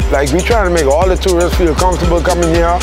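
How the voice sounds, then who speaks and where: Clear music plays behind a man whose pitch varies in an ordinary way. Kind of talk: interview answer. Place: beach.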